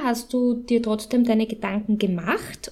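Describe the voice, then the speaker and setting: The woman's pitch is fairly high, with monotone, flat intonation. She speaks at a fairly slow pace. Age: 30s. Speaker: podcast co-host. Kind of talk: interview.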